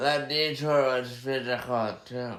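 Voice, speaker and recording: In a room with audible echo, a man with a medium pitch talks very slowly in a bright, sharp tone and a monotone, flat intonation. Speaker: brain injury survivor and writer. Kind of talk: reading aloud. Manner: halting.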